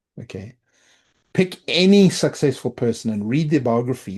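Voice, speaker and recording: A man with a South African accent talks at a moderate pace with ordinary pitch variation. His tone is dark and mellow, somewhat breathy, and the background is quiet. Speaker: product and technology leader. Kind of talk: podcast interview.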